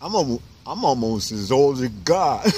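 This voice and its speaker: Amid audible room echo, a man with a New York accent talks at a moderate pace and medium pitch. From New York City, Harlem. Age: 60s. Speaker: homeless author. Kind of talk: interview. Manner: halting.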